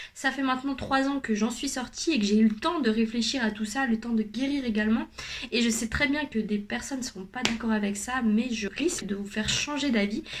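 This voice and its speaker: Noticeable background noise sits behind the speech. A woman talks at a fairly quick pace and a fairly high pitch, with ordinary pitch variation. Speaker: youtuber, personal development coach. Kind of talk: vlog monologue.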